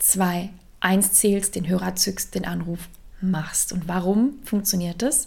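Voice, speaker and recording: A woman speaks. Her tone is energetic. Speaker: career coach. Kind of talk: solo podcast monologue. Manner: conversational, energetic.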